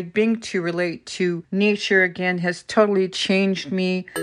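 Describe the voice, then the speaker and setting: A plain, everyday voice speaks at a fairly slow pace with fairly even intonation over a quiet background. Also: woman. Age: 60s. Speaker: cancer patient sharing stories. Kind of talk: personal storytelling.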